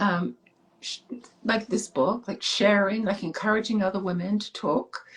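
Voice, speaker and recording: Somewhat breathy, a woman talks at a fairly quick pace. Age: 60s. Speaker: author. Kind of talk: interview.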